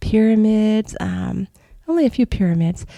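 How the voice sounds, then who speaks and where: A woman's somewhat breathy, dark and mellow voice at medium pitch, in a very clean recording against a silent background. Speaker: astral travel podcaster. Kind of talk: casual podcast monologue.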